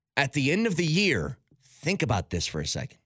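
A man speaks at a fairly quick pace with vocal fry. The recording is very clean with a silent background and has a dry, close sound with no echo. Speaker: sports radio host. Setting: studio.

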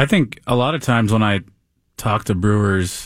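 Recorded very cleanly against a silent background, a man speaks at a moderate pace in an unremarkable speaking voice with fairly low pitch. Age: 40s. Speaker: beer blogger. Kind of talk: casual chat.

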